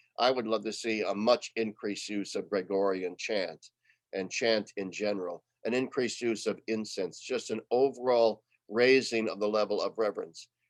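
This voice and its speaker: In an American accent, a man with an ordinary speaking voice talks at a moderate pace with medium pitch and fairly even intonation, in a dry, close sound with no echo. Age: 60s. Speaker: retired theology professor. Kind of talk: webinar talk. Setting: online webinar.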